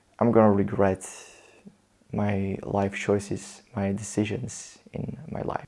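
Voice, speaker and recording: At a fairly slow pace, a man with a non-native accent speaks in a fairly low, dark, mellow voice with monotone, flat intonation. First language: not English. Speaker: motivational vlogger. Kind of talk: personal storytelling monologue.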